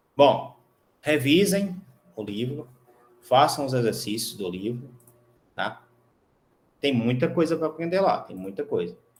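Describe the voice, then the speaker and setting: A man speaks at a fairly slow pace with very wide pitch swings, and audible room echo surrounds his voice. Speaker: university professor. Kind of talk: lecture. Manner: casual, conversational.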